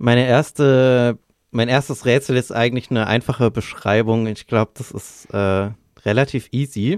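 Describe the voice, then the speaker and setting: In a very clean recording with a silent background and a dry, close sound with no echo, a man with an unremarkable speaking voice talks at a moderate pace, medium in pitch and fairly even in intonation. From Bavaria, Lower Franconia. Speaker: podcast co-host. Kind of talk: casual chat.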